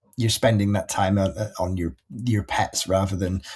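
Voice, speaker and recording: A man's fairly low, somewhat breathy voice with a dark, mellow tone, in a Yorkshire accent. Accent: Yorkshire, northern English. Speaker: pet marketplace breeder relations manager. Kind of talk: presentation of an industry report. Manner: halting, many repetitions and fillers; casual, conversational.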